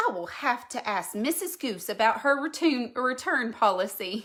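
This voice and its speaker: A woman does a gruff, put-on character voice at a high pitch. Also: moderate pace. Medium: read story. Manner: gruff, grumpy.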